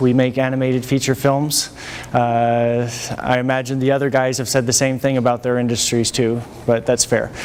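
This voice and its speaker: A man speaks at a moderate pace and medium pitch in a flat monotone. His loudness stays very even, with noticeable background noise around him. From France. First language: French and English. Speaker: animation studio technology chief. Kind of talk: lecture. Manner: halting.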